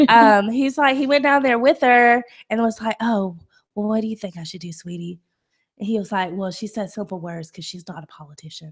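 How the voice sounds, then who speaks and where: With lively intonation and an animated tone, a woman speaks at a fairly quick pace and fairly high pitch, somewhat breathy, her loudness swinging widely, on a very clean recording with a silent background. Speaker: political talk show co-host. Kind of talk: casual chat.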